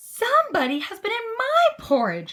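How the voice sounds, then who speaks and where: A put-on character voice, raspy and squeaky, with very wide pitch swings at a moderate pace. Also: woman, extremely high pitch for a woman. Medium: read story. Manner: prim, genteel.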